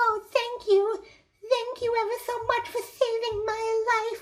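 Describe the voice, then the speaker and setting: A put-on character voice, squeaky and extremely high in pitch, moves at a fairly slow pace with monotone, flat intonation. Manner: grateful, earnest.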